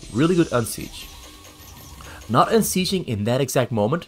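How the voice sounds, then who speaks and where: With music in the background, a man speaks at a medium pitch, his voice moving in very wide pitch swings. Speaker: game commentator. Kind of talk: esports game casting.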